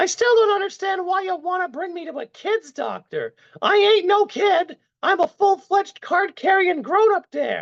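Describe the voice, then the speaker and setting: An extremely high-pitched, squeaky put-on character voice with a whiny sound. It moves at a moderate pace. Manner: whining.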